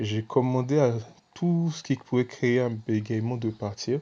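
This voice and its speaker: This man's voice sits at a medium pitch, with a dark, mellow tone, a somewhat breathy quality, ordinary pitch variation and a fairly slow pace. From Senegal. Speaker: evangelist. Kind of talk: testimony. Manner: casual, conversational.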